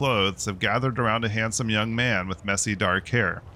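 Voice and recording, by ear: In a natural voice, the speaker reads the passage aloud.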